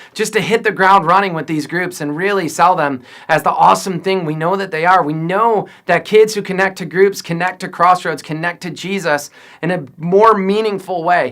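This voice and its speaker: A man shouts loudly at a high pitch, his tone bright and sharp. The pitch variation is ordinary. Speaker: youth pastor. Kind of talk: video message to volunteer leaders. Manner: loud, yelling; animated.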